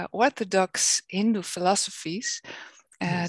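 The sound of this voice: The sound is dry and close with no echo as a woman with a Dutch accent speaks at a fairly slow pace with ordinary pitch variation.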